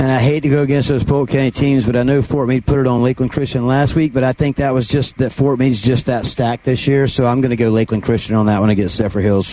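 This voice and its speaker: With noticeable background noise behind him, a man of medium pitch talks very fast with hardly any pauses and very even loudness. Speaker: sideline reporter. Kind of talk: live sideline commentary. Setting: on the field sideline, outdoors. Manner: enthusiastic, casual.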